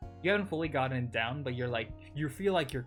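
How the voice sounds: Lively intonation paired with a natural reading voice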